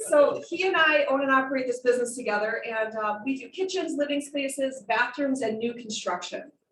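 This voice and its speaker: A woman speaks loudly at a high pitch. Her tone is passionate. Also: ordinary pitch variation, fairly quick pace, hardly any pauses. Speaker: remodeling business owner and designer. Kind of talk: club talk presentation. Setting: club meeting with audience, handheld mic, streamed online. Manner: projecting, passionate.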